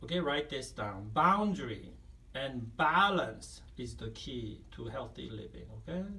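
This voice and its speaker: A man at a fairly slow pace, with big swings in loudness and audible room echo. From Asia. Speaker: counselor and video self-help mentor. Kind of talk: self-help talk to camera. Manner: conversational, many fillers like 'right?' and 'like'.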